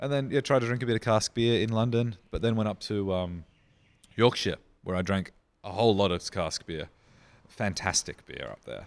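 This very clean recording has a silent background. A man with an Australian accent speaks at a medium pitch and moderate pace, with ordinary pitch variation. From Australia, Riverland (South Australia). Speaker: brewery founder. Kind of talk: casual interview.

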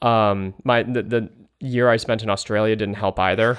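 A moderate pace in an American accent. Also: man. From California. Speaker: guest commentator on politics. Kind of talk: interview discussion.

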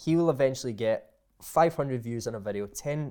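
Over a very clean, silent background, a man with a Scottish accent speaks at a moderate pace and medium pitch with ordinary pitch variation. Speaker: content creator. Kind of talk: casual chat.

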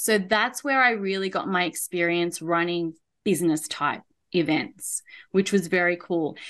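Here a woman speaks with an Australian accent. Her medium-pitched voice keeps a fairly slow pace. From Australia, Melbourne. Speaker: event and marketing consultant. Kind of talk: interview podcast chat.

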